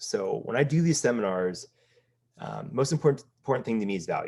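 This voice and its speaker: His intonation moves in a lively way. The man talks fairly quickly. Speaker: business coach. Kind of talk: seminar. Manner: fast.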